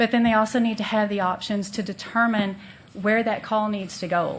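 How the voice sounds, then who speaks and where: Over audible room echo, a woman speaks at a fairly quick pace with medium pitch. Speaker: mental health policy consultant. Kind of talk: presentation to city council.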